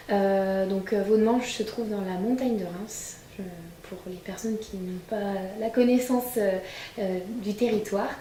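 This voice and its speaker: A woman at medium pitch speaks at a fairly slow pace with fairly even intonation, big swings in loudness and long, frequent pauses, amid audible room echo and noticeable background noise. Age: 20s. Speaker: winegrower. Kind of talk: interview testimony.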